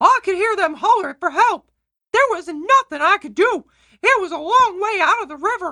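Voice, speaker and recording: A put-on character voice, extremely high in pitch, at a moderate pace. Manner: comedic.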